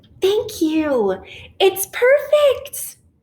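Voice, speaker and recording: Using a put-on character voice, a woman squeaks at an extremely high pitch in a gentle tone, with very wide pitch swings. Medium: read story. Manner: gentle, encouraging.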